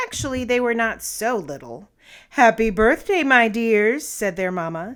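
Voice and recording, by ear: A natural voice reads the text aloud, its pitch rising and falling in an ordinary way.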